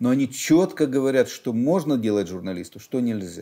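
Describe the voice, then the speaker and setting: Over a quiet background, a man speaks with a dark, mellow tone. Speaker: newspaper editor. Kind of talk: interview answer. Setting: studio. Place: studio.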